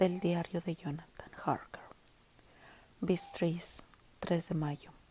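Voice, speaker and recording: A woman's somewhat breathy, dark, mellow voice, fairly low in pitch and monotone, flat in intonation. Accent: Latin American. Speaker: audiobook narrator. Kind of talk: audiobook reading. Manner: minimalist, plain reading.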